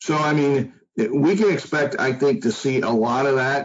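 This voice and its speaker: A man talks in a plain, everyday voice. His pitch is medium and his intonation lively. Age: 60s. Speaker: foreign policy expert. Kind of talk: interview.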